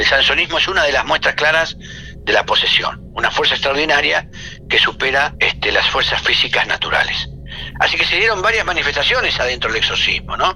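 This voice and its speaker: A man talks at a fairly quick pace with very even loudness. Noticeable background noise runs underneath. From Latin America. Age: 50s. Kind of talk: interview.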